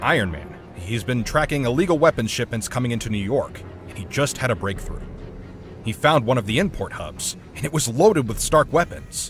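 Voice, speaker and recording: Putting on a character voice, a man talks at a fairly quick pace against clear background noise. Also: medium pitch for a man. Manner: brisk, impatient.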